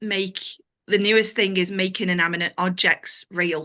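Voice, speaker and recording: This speaker talks at a fairly slow pace with a Liverpool accent and fairly even intonation. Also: woman. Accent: Scouse. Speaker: stand-up comedian. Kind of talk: interview answer.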